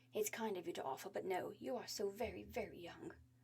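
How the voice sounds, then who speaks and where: In a put-on character voice, a female-sounding speaker rushes at a very fast pace in a medium pitch, with hissing and clear background noise. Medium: read story. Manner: lecturing, gentle.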